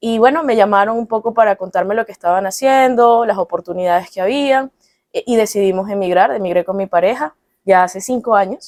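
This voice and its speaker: A woman's medium-pitched voice with a Caracas Venezuelan accent, fairly quick, with ordinary pitch variation and a dry, close sound free of echo. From Venezuela, Caracas. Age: 30s. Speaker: psychologist. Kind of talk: interview.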